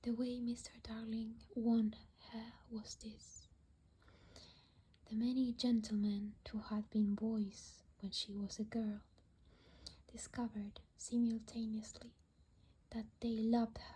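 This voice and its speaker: Soft-spoken delivery at a very slow pace, with long, frequent pauses. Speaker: ASMR creator. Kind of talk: reading aloud.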